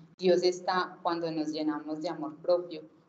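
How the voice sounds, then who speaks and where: Amid noticeable background noise and audible room echo, a woman with an Antioquian accent speaks at a moderate pace with a fairly low pitch. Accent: Colombian paisa Spanish. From Colombia, Antioquia (Itagüí). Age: 30s. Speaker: lay preacher at a faith group. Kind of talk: sermon-style testimony talk.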